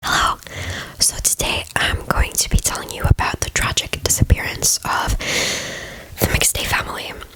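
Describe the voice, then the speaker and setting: Against noticeable background noise, a woman is whispering. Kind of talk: true crime ASMR narration. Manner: whispered.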